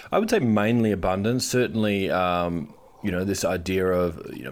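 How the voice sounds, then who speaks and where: An Australian-accented man at a fairly low pitch, with ordinary pitch variation. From Western Australia. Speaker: advertising strategist and podcast co-host. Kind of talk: interview conversation.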